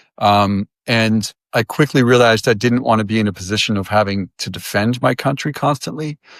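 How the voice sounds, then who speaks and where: A man with an American accent talks at a fairly quick pace and a medium pitch with ordinary pitch variation and hardly any pauses, in a dry, close sound with no echo and a very clean recording with a silent background. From US, Massachusetts. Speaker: marketing professional and musician. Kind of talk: interview testimony. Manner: halting, many fillers.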